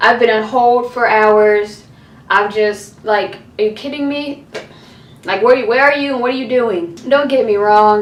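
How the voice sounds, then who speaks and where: Speaking at a fairly slow pace over noticeable background noise, a woman uses a fairly high pitch with ordinary pitch variation. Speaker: college student youtuber. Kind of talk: casual rant to camera.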